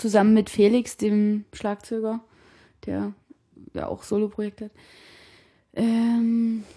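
A woman speaks very slowly with long, frequent pauses. Her fairly high voice has a dark, mellow tone and a monotone, flat intonation. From Saxony, Sebnitz. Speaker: drummer. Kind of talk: casual radio conversation. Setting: at the guest's home.

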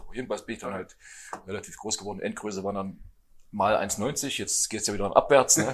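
This is a normal speaking voice from a man with a fairly low pitch. He talks at a fairly quick pace with ordinary pitch variation. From eastern Germany (Thuringia, Hermsdorf). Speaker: handball coach. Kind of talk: casual chat. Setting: restaurant table with other guests.

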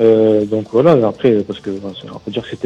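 A man's fairly low voice, dark and mellow in tone, at a very fast pace. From Kabylie, Algeria. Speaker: metal band drummer. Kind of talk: radio interview. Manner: halting, repetitive.

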